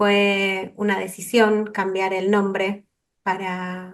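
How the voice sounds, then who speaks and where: A woman speaks at a medium pitch. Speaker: counselor and focusing trainer. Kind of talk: online workshop talk. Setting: video call. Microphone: too quiet at first.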